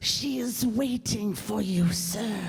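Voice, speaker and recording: Doing a put-on character voice at a medium pitch, a woman speaks over light background noise. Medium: stage play. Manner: clipped, formal.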